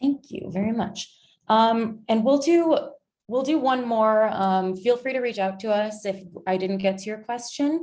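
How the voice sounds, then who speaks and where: A woman with an unremarkable speaking voice talks at a fairly slow pace in a fairly high pitch with ordinary pitch variation. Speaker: webinar moderator. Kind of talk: webinar Q&A moderation.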